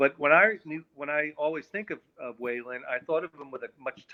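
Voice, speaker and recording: The speaker is a man with a plain, everyday voice. He keeps a moderate pace with ordinary pitch variation. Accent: American. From New York, Long Island. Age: 60s. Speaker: musician. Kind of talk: casual chat.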